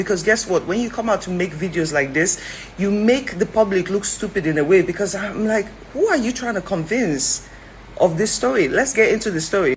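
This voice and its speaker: Amid noticeable background noise, a woman talks at a fairly quick pace. Her pitch is medium and her intonation lively. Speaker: commentator. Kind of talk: opinion vlog. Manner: fast; animated.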